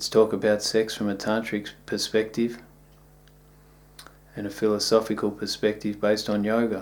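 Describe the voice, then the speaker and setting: A man with an Australian accent speaks at a moderate pace in a fairly low, flat monotone, leaving long, frequent pauses. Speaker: yoga teacher. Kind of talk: video talk.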